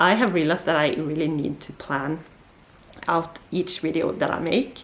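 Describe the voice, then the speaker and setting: At a fairly slow pace, a woman with a fairly low pitch speaks in a Norwegian accent. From Norway. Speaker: book vlogger. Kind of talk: casual chat. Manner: hesitant, many fillers.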